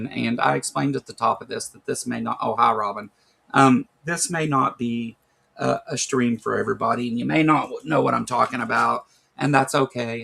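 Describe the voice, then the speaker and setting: A man with a Kentucky accent at a moderate pace, with big swings in loudness. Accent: Kentucky Southern American. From Kentucky, USA.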